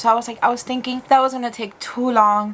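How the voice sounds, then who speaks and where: A woman talks at a very fast pace in a flat monotone, with noticeable background noise behind her. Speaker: beauty YouTuber. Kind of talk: casual talk to camera. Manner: code-switching between English and Spanish.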